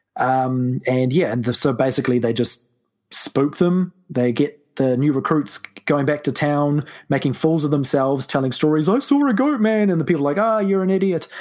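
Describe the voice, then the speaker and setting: This man's pitch is fairly high, and his intonation is lively, in a New Zealand accent. His loudness stays very even throughout. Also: moderate pace. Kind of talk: casual chat with storytelling.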